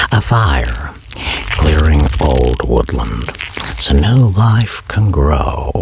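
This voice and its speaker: A man with a very deep, low pitch and a calm tone speaks at a very slow pace with long, frequent pauses, very even loudness and very wide pitch swings, over noticeable background noise. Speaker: voice performer / ASMR creator. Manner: slow, calm, reflective, with long pauses.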